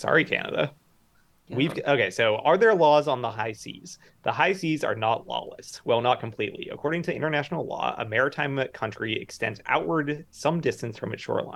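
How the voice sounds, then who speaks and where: A man talks with a fairly high pitch and lively intonation at a fairly quick pace. It is a plain, everyday voice. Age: 30s. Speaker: podcast co-host. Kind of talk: casual chat. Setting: video call.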